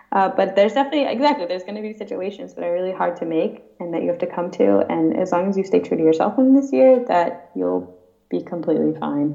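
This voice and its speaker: A woman's fairly low voice with lively intonation, very fast and with hardly any pauses, over noticeable background noise. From US Midwest, Woodstock, Illinois. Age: young. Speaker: exchange student. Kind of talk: casual interview. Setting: Skype call.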